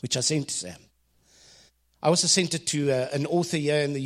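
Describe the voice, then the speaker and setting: Talking at a fairly quick pace, a man speaks with a South African accent. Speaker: ministry leader and business consultant. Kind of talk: devotional talk. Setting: stage with audience.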